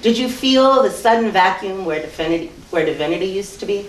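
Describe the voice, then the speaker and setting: Moderate pace, very wide pitch swings, and an American accent, with audible room echo. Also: woman. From US East Coast. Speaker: performance poet. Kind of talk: live poetry reading. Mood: earnest, intense. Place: hall.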